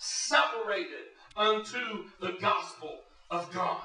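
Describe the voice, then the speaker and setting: A man speaks in a raised, projected voice with a high pitch and lively intonation, with audible room echo and music in the background. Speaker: pastor. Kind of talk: sermon.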